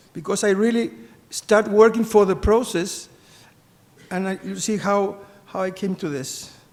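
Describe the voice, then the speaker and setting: A man with a Spanish accent speaks at a high pitch with ordinary variation and a fairly slow pace. He takes long, frequent pauses, and his loudness swings widely. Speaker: business executive and sainthood postulator. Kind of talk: conference talk. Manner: halting.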